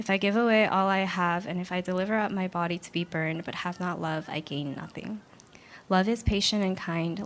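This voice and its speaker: In a normal speaking voice, a woman talks at a fairly quick pace with a medium pitch and fairly even intonation. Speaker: scripture reader. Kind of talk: reading aloud.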